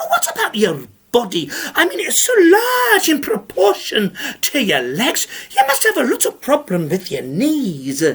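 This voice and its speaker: A put-on character voice at a fairly high pitch moves along at a moderate pace. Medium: read story. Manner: prim, scolding, unflappable.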